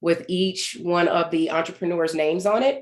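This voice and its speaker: A woman with an unremarkable speaking voice, fairly low in pitch, at a moderate pace. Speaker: event host. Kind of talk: online event moderation.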